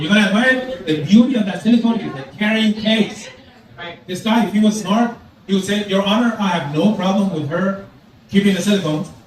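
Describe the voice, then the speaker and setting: In a room with audible echo and noticeable background noise, a man speaks at a fairly quick pace with a high pitch and ordinary pitch variation. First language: Farsi. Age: 60s. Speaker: stand-up comedian. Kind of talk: stand-up. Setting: stage with audience.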